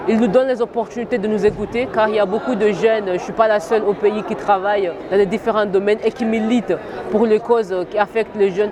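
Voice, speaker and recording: Against crowd noise in the background, a woman talks at a moderate pace in a fairly high pitch with monotone, flat intonation. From Comoros. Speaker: youth educator. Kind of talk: interview statement.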